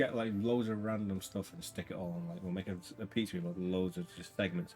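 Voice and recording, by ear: A text is read aloud. The voice doing it sounds natural.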